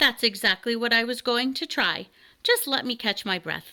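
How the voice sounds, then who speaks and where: A woman speaks at a moderate pace in a put-on character voice. Her pitch is high. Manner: somewhat cross.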